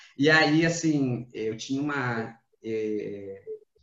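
There is audible room echo as a man with a fairly high pitch speaks with ordinary pitch variation. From Rio Grande do Sul, Brazil. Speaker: podcast host. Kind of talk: casual chat.

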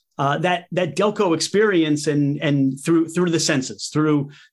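On a very clean recording with a silent background, a man talks at a fairly high pitch with ordinary pitch variation. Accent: Philadelphia. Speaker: podcast host. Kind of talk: casual interview.

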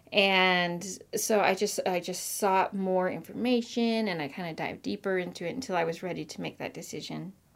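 In a Pacific Northwest accent, a woman speaks at a moderate pace with hardly any pauses. Her medium pitch shows ordinary variation, on a very clean recording with a silent background. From US Pacific Northwest (Marysville, Washington). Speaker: children's ministry director. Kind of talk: casual interview.

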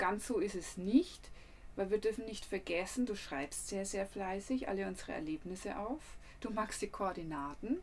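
With a Franconian accent, a woman talks at a medium pitch and moderate pace, her intonation lively. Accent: Franconian dialect, rolled R and soft D. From Franconia, Germany. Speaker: travel podcaster and photographer. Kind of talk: casual travel storytelling.

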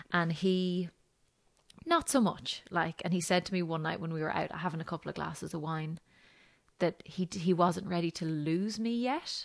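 With an Irish accent, a woman talks at a moderate pace in a fairly low pitch with ordinary pitch variation over a quiet background. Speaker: mother sharing her birth story. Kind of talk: casual interview chat.

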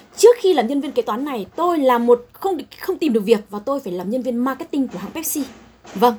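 A woman's high, lively voice at a fairly quick pace, with big swings in loudness and noticeable background noise. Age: 40s. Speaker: chief accountant. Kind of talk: talk to students.

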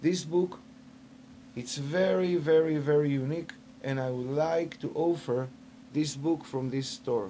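A man's fairly high voice with an Israeli accent, fairly slow in pace, with long, frequent pauses and ordinary pitch variation. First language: Hebrew. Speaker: shofar maker. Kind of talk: sales pitch; interview. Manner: halting.

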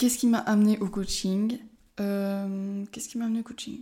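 A woman speaks at a fairly slow pace with a medium pitch and fairly even intonation. Her voice is somewhat breathy with a dark, mellow tone, on a very clean recording with a silent background. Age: 20s. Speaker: life coach and podcaster. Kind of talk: casual solo monologue. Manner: halting, many hesitations.

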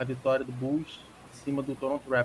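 A man with a fairly high pitch at a moderate pace. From Rio de Janeiro, Brazil. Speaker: basketball podcast co-host. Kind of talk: casual sports chat. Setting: remote call.

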